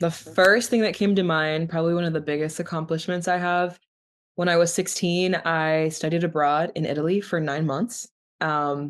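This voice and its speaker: A woman with an American accent speaks in an ordinary speaking voice, fairly low in pitch, at a moderate pace with fairly even intonation against a quiet background. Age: 20s. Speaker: university student. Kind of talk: interview.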